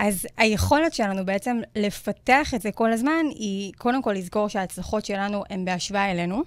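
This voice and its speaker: Against a silent background on a very clean recording, a woman speaks with an unremarkable speaking voice. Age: 20s. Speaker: self-confidence coach. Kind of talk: interview conversation on radio show.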